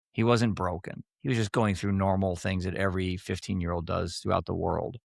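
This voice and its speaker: A man's very deep, low voice at a fairly quick pace with fairly even intonation, on a very clean recording with a silent background. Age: 60s. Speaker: author and app founder, former financial advisor. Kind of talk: podcast interview, personal testimony. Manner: halting, repeats words.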